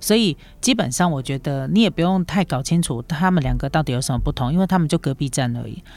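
A woman's very deep, low voice at a very fast pace, with lively intonation. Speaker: travel podcast host. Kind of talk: solo podcast monologue. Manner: casual, many fillers.

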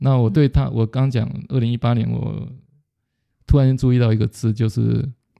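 Here a man talks at a moderate pace, his medium pitch showing ordinary variation and a dark, mellow tone. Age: 50s. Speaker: retired business executive, book club leader. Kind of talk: interview. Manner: halting, with repetitions.

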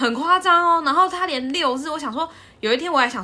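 In a raised, projected voice, a woman speaks at a moderate pace with a bright, sharp tone. Her pitch makes very wide swings. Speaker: podcast co-host. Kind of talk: casual chat.

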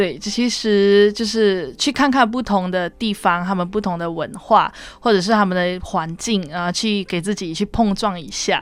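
At a moderate pace with hardly any pauses, a woman with a plain, everyday voice speaks in a medium pitch with ordinary pitch variation. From Malaysia. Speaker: university student. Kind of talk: radio interview.

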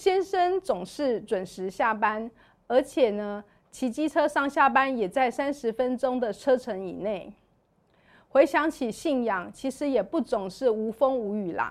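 A woman with a Taiwanese accent speaks at a high pitch and a fairly slow pace with lively intonation, in a very clean recording with a silent background. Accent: Taiwanese Mandarin. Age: 40s. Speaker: church member sharing her life story. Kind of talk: testimony.

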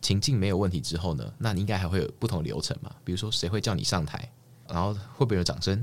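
With vocal fry and a very deep, low pitch, a man talks at a very fast pace using lively intonation. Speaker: doctoral student and presentation competition winner. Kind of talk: casual interview chat. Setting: recording studio.

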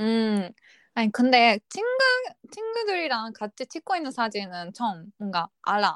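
A woman speaks at a fairly slow pace with a fairly high pitch and lively intonation. The recording is very clean, dry and close, with no echo and a silent background. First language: not Korean (speaking Korean). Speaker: podcast co-host. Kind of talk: casual chat.

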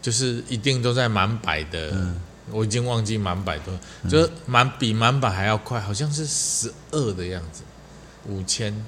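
A man's lively intonation at a moderate pace. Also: fairly low pitch for a man. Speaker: podcast co-host, army veteran. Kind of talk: casual chat.

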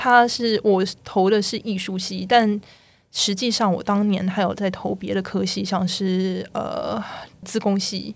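A woman's medium-pitched voice, very slow and monotone, with flat intonation. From Taiwan. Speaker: video game technical artist. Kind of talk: casual interview chat.

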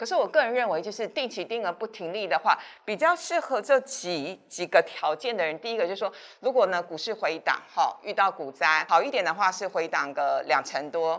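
A woman's voice moves at a fairly brisk clip while her pitch rises and falls very widely. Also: medium pitch for a woman. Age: 50s. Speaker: finance show host. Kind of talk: casual interview about investing.

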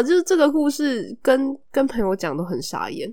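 In a Taiwanese accent, the speaker sounds animated, moving through very wide pitch swings at a fairly slow pace. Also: woman. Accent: Taiwanese Mandarin. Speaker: podcast host. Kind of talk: casual chat. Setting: recording at home. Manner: animated, laughs often.

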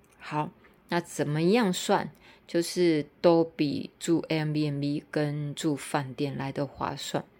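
Her voice is very deep and low, with fairly even intonation and a very slow pace. The woman is recorded very cleanly against a silent background. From Taiwan (Tainan). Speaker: podcaster and teacher. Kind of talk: casual monologue. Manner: hesitant with fillers and repetitions.

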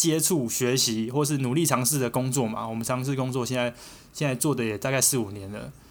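A man talks at a fairly quick pace with fairly even intonation. Music plays in the background, and there is audible room echo. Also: medium pitch for a man. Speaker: podcast co-host. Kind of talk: casual chat.

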